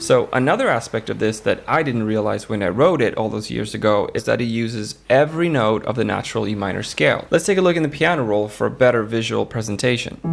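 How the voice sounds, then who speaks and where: A man with a non-native accent talks at a very fast pace, hardly pausing at all. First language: not English. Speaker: music composer and YouTuber. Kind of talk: tutorial.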